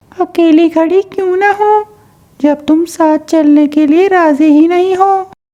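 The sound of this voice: This woman uses a cartoonish character voice at an extremely high pitch, talking at a moderate pace. Her intonation is fairly even and her loudness very even.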